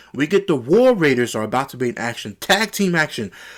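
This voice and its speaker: The recording is very clean with a silent background. A man speaks in an animated tone at a fairly quick pace. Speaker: wrestling show reviewer. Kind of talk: solo show review. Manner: fast.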